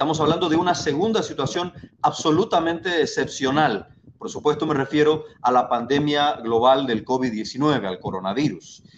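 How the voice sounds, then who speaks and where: A man speaks in a plain, everyday voice with a fairly high pitch. His pace is moderate. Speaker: political candidate. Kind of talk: political debate.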